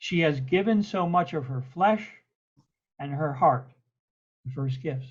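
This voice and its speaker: A man speaks at a fairly slow pace with long, frequent pauses. His voice is somewhat breathy, fairly high in pitch, with ordinary pitch variation. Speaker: podcast host. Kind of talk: poetry reading.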